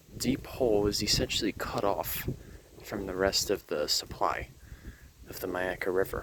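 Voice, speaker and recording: A man whispering quietly at a moderate pace, with long, frequent pauses. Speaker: nature vlogger. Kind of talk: outdoor educational vlog. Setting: outdoors at a state park.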